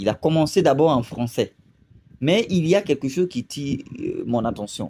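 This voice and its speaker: A man with a Burkinabe accent speaks in a dark, mellow tone with lively intonation. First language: Lobi (speaking French). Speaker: video commentator. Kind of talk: video commentary monologue. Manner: hesitant, many fillers.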